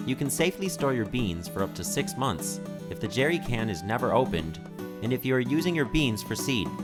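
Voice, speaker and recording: Over music in the background, a man with an American accent speaks fairly quickly at medium pitch with very wide pitch swings. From United States. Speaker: educational video narrator. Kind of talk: instructional narration.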